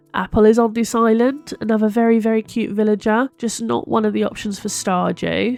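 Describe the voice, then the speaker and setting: With music in the background, a woman in a British accent talks at a fairly quick pace in a fairly high pitch. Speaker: gaming YouTuber. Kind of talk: gameplay commentary.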